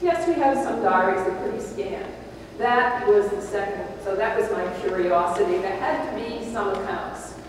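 Strong room echo and noticeable background noise fill the recording of a woman speaking. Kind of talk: lecture. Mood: warm, lively.

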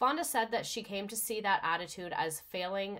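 A woman speaks in an animated tone at a moderate pace against a quiet background. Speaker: livestream host presenting a history topic. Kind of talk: casual livestream presentation with slides. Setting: live stream with viewer chat. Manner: animated, excitable. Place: home room.

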